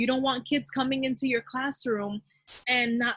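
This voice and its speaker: A woman talks at a fairly quick pace with a Spanish accent. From Dominican Republic. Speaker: teacher. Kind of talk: teacher training presentation.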